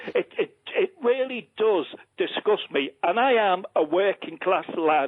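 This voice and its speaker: A man with a Liverpool accent speaks at a fairly slow pace in a high, passionate, animated voice, his pitch swinging very widely while his loudness stays very even. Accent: Scouse (Liverpool). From Liverpool, England. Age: 60s. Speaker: caller. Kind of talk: phone-in call. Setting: phone call.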